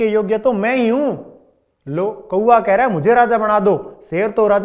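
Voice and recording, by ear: In a quiet setting, a passage is read aloud in a natural voice, the intonation fairly even.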